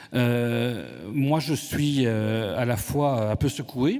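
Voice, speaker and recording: The man's pitch is medium and varies in an ordinary way. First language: Italian (speaking French). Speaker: conference moderator. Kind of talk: moderating a panel debate. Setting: conference hall with audience.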